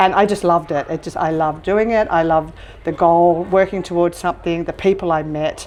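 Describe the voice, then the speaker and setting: A woman with an Australian accent speaks fairly quickly at a fairly low pitch, her intonation fairly even. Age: 60s. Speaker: restaurant owner and trekker. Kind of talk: interview. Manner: halting, many fillers.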